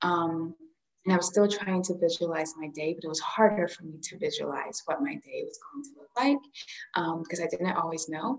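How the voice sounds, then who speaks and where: With an American accent, a plain, everyday voice moves at a moderate pace with lively intonation and big swings in loudness. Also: woman, fairly low pitch for a woman. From Central Florida. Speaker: holistic therapist. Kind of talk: casual chat.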